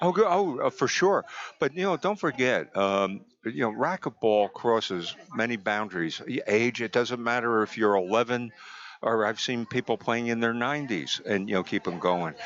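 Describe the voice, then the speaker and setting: Using a New Jersey accent, a man speaks at medium pitch and a moderate pace with lively intonation. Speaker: physical therapist, guest commentator. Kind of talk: live sports commentary chat. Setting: live tournament venue. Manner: hesitant, filler-heavy.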